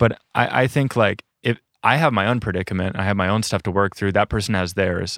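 A man with a plain, everyday voice and an American accent talks at a fairly quick pace in a fairly low pitch with ordinary pitch variation, captured in a very clean recording with a silent background and a dry, close sound with no echo. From South Dakota, US Midwest. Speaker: van dweller and rock climber. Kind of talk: casual interview conversation.

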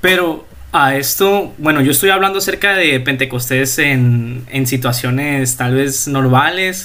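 A man speaks at a very slow pace with a fairly high pitch, a bright, sharp tone, ordinary pitch variation and very even loudness, with audible room echo around him. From Mexico, La Paz, Baja California Sur. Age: young. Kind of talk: casual religious chat.

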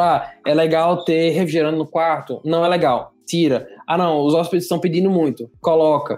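High-pitched male voice with fairly even intonation. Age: 20s. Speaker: hospitality entrepreneur. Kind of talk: casual interview.

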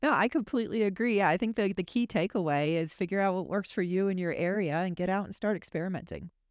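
A woman with an American accent at a medium pitch, talking very fast with hardly any pauses and ordinary pitch variation. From Florida. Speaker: podcast co-host, homesteader. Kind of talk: casual chat. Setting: video call.

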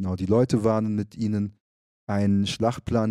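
A fairly low-pitched man at a moderate pace, dark and mellow in tone, in a very clean recording with a silent background. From Frankfurt am Main, Germany, then Munich. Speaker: activist and rapper. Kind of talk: casual interview. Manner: hesitant, many fillers.

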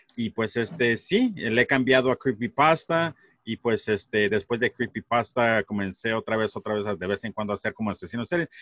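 Moderate-paced delivery with hardly any pauses and ordinary pitch variation, in a plain, everyday voice. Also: man, medium pitch for a man. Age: 40s. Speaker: podcaster. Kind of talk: casual chat.

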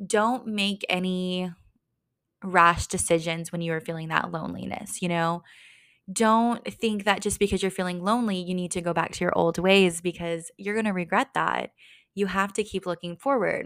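With an American accent, a woman with a plain, everyday voice speaks at medium pitch and a moderate pace with fairly even intonation. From small-town Texas. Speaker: podcast host. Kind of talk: casual solo talk.

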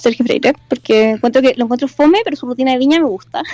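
In a Chilean accent, a woman talks at a fairly quick pace with a high pitch. The sound is dry and close, with no echo. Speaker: university student. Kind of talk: casual chat.

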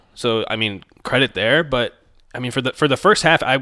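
Speaking fairly quickly, a man shows ordinary pitch variation. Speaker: fantasy football podcast co-host. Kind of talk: casual sports podcast chat. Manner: quiet.

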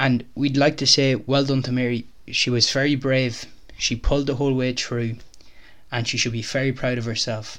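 With an Irish accent, a man speaks in a monotone, flat intonation at a moderate pace. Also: medium pitch for a man. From Ireland, County Clare. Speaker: podcast host. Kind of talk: casual interview. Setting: home kitchen used as studio.

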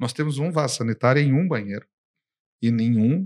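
Moderate-paced speech from a man, with a very clean recording and a silent background. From Brazil. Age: 50s. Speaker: business consultant and company founder. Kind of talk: casual interview. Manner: animated.

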